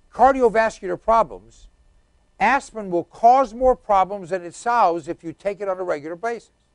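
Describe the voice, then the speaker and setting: Heard in a dry, close sound with no echo, a man with a high voice talks at a moderate pace with ordinary pitch variation. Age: 60s. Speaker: talk show host. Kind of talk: talk radio commentary.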